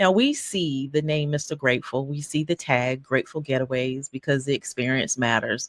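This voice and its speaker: A woman with a Southern US accent at a moderate pace, her pitch varying in an ordinary way. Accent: Southern country. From North Carolina. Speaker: podcast host. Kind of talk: interview. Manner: animated.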